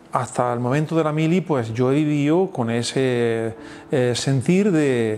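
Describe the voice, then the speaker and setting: Over noticeable background noise, a man talks at a fairly slow pace with medium pitch, ordinary pitch variation and very even loudness. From Andalusia, Spain (Andújar, Jaén). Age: 60s. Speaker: pastor. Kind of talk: testimony interview. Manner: halting, many fillers and repetitions.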